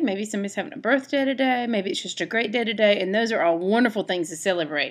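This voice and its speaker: Very fast pace and lively intonation, with an American accent, a warm tone and a quiet background. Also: woman. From American South. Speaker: children's storytime reader, cookbook author. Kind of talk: children's storytime book reading. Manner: warm, friendly, chatty, addressing children. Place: kitchen. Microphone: webcam.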